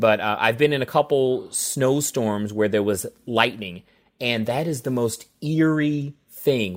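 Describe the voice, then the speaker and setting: On a very clean recording with a silent background, a man with an American accent speaks fairly slowly at medium pitch in an ordinary speaking voice. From US Midwest, St. Louis, Missouri. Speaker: TV meteorologist. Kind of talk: radio interview answering kids' questions.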